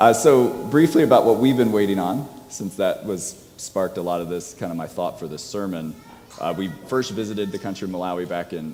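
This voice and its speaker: Against audible room echo, a man talks fairly quickly in a fairly low voice, his loudness swinging widely. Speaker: physician and guest preacher. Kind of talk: sermon. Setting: church.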